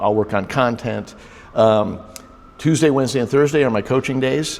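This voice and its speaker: A man talks over noticeable background noise. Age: 60s. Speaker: business coach. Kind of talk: interview. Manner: halting, many fillers.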